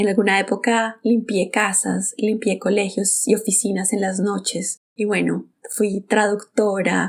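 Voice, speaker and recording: A woman with a Bogotá Colombian accent talks at a fairly slow pace with hardly any pauses. Her intonation is monotone and flat, with vocal fry. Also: medium pitch for a woman. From Colombia, Bogotá. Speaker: podcast host. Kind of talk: personal storytelling monologue.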